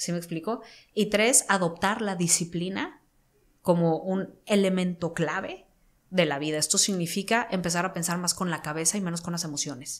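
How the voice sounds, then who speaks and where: A woman talks at a moderate pace in a fairly low pitch, her pitch varying in an ordinary way. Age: 30s. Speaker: entrepreneur and mindset coach; mindset coach. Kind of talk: interview. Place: studio. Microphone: studio mic.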